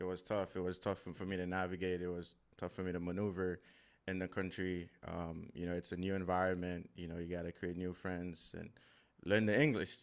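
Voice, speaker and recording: A man with a very deep, low pitch speaks at a fairly quick pace in a Haitian accent. The recording is very clean, with a silent background. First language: Haitian Creole. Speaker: podcaster and real estate investor. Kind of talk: casual interview conversation. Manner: halting, with many repetitions and fillers.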